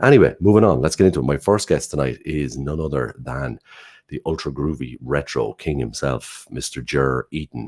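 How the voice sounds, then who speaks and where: With an Irish accent and vocal fry, a man talks at a fairly quick pace in a very deep, low pitch, with a dry, close sound with no echo. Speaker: online show host. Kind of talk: live show introductions.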